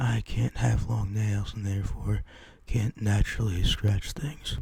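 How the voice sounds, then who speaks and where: A soft-spoken man talks at a fairly slow pace over noticeable background noise. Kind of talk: ASMR haul video, casual talk to camera.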